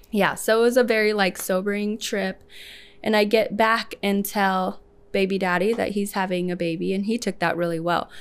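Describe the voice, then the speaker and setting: A woman speaks at a moderate pace with a Midwestern US accent, her medium-pitched voice fairly even in intonation on a very clean recording with a silent background. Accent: US Midwest. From Lincoln, Nebraska (adopted from Ethiopia as a small child). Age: 30s. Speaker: salon owner. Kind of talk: casual interview.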